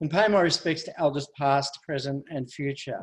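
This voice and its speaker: Moderate pace from a man in an Australian accent. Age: 60s. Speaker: family violence survivor advocate. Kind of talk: speech. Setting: webinar.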